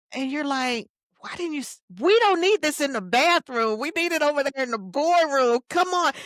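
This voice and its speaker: A woman speaks at a moderate pace in a high voice with lively intonation. The sound is dry and close, with no echo. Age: 60s. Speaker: keynote speaker and leadership coach. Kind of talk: podcast interview.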